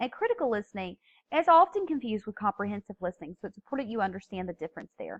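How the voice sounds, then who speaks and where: A woman with a strong Southern US accent talks very fast at a fairly high pitch, her pitch swinging very widely. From US South. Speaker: teacher. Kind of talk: lecture.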